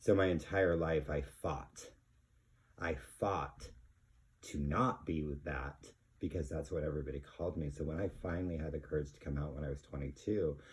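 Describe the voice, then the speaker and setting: A man talks with a very deep, low pitch and vocal fry. He keeps a moderate pace and ordinary pitch variation. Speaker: vinyl record collector, channel host. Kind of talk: casual vlog monologue. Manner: halting, many fillers.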